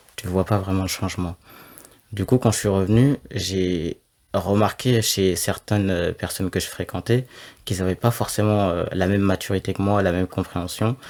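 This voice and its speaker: Here a man talks in a plain, everyday voice at a fairly low pitch, with fairly even intonation and a moderate pace. The recording is very clean, with a silent background. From France. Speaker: law student, guest. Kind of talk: interview.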